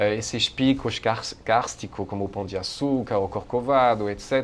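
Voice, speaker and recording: A man with a French accent talks at a fairly slow pace. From France. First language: French (speaking Portuguese). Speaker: professor, Asia studies researcher. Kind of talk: interview. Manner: halting, many hesitations.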